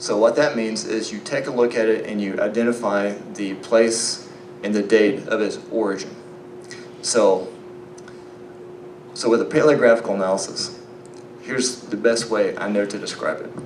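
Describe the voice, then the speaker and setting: In a recording with audible room echo and noticeable background noise, a relaxed man with a slight Southern US accent and a medium pitch speaks at a moderate pace with ordinary pitch variation and long, frequent pauses. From Arkansas, US South. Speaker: biblical archaeology lecturer. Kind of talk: conference lecture. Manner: relaxed, conversational with fillers.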